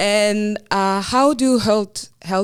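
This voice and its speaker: A woman's medium-pitched voice with a French accent and ordinary pitch variation. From northern France. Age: 20s. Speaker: business school student. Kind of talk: interview answer.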